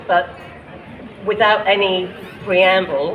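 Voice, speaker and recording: Speech comes at a fairly slow pace with noticeable background noise present. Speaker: poet. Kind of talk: poetry reading at a rally.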